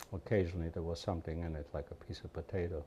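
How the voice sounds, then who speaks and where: Intonation is fairly even. The tone is dark and mellow, with some breathiness. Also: man. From Poland. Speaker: Holocaust survivor. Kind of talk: interview testimony.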